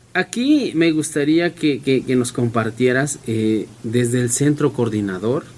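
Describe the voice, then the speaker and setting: A man with a medium pitch speaks at a fairly slow pace, with ordinary pitch variation. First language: Mixe (speaking Spanish). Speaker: community radio host. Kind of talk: radio interview.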